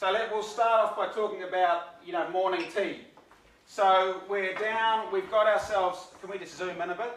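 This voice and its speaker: A man with a New Zealand accent speaks loudly at a high pitch and a moderate pace. His intonation is monotone and flat, and audible room echo surrounds the voice. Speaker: sailor. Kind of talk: presentation.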